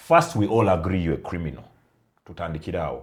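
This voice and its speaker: A man with a non-native accent talks in a somewhat breathy voice. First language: not Luganda. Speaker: podcast co-host. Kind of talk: casual chat.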